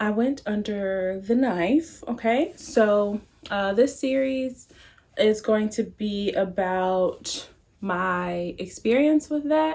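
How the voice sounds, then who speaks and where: A woman talks at a very slow pace. Her fairly high pitch carries lively intonation. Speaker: beauty and lifestyle vlogger. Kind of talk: personal vlog. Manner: casual, filler-heavy.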